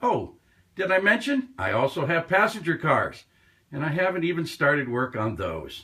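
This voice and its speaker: Bright and sharp in tone, a man speaks at a moderate pace in a high pitch with very wide pitch swings. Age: 70s. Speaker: model railroad hobbyist. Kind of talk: casual show-and-tell video tour. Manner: casual, folksy.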